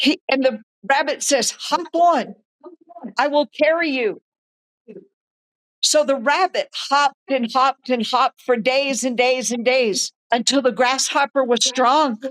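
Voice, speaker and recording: Keeping her loudness very even, a woman speaks at a high pitch and fairly slow pace with ordinary pitch variation. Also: dry, close sound with no echo. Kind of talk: interview with storytelling. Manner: animated storytelling.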